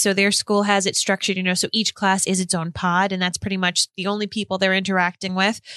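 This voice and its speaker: A woman's voice of medium pitch. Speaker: podcast co-host. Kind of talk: casual chat. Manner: bubbly, cheerful.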